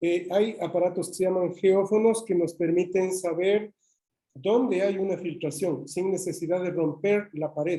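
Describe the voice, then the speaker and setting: This man has a high pitch and a dark, mellow tone. He talks at a fairly slow pace with fairly even intonation. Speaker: engineer giving a technical talk. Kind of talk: webinar presentation. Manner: hesitant, with fillers.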